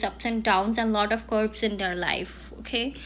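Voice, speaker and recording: With an Indian accent, a woman speaks at a moderate pace using fairly even intonation. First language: Hindi. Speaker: palm reader. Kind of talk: palm reading analysis. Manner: halting.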